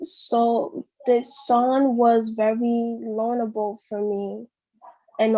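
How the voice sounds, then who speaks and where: Her intonation fairly even, a woman speaks. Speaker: songwriter. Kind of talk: casual chat. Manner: halting.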